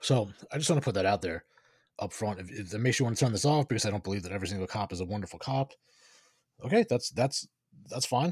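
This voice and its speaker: In a somewhat breathy, fairly low voice with lively intonation, a man talks at a very fast pace yet with long, frequent pauses, the sound dry and close with no echo. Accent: American. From New York. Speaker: podcast host. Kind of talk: commentary with reading aloud.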